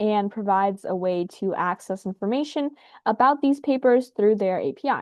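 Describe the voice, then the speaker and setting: This woman has an unremarkable speaking voice at medium pitch. She keeps a moderate pace with ordinary pitch variation. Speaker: science youtuber. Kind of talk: casual explainer video. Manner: casual, with filler words.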